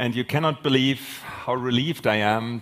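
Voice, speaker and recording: An unremarkable speaking voice from a man at medium pitch keeps a moderate pace. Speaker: panel moderator. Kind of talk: moderated panel discussion. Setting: conference stage with audience.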